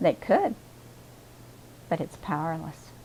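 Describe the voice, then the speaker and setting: A woman with a fairly low voice shows vocal fry and a dark, mellow tone. Her intonation is lively. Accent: American. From Kansas, USA. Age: 70s. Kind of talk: interview answer.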